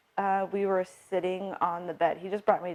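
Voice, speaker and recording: This is a woman. She speaks with an American accent. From US Northwest (South Dakota, Montana). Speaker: military widow. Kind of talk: interview testimony. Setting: at her home.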